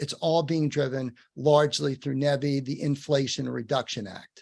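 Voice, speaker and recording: The speaker has a New York accent. The background is quiet. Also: man. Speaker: webinar host. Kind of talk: webinar Q&A. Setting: virtual program.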